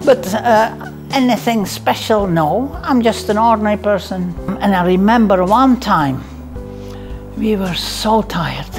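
A woman of medium pitch at a fairly slow pace, ordinary pitch variation, clear music in the background. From Netherlands. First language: Dutch. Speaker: midwife. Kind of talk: interview answer. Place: home room. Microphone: lapel.

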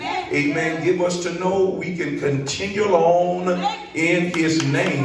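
With noticeable background noise and audible room echo, a man speaks in a high voice with fairly even intonation. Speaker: preacher leading prayer. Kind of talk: sermon prayer. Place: church.

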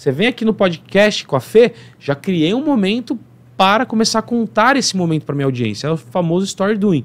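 This man's voice is high and energetic, with very wide pitch swings. He talks at a fairly quick pace. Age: 30s. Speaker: accountant and entrepreneur; podcast guest. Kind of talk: interview podcast. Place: studio. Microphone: studio mic.

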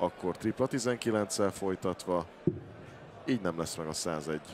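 This is an ordinary speaking voice. A man speaks at a fairly low pitch with ordinary pitch variation. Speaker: darts pundit. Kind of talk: live commentary.

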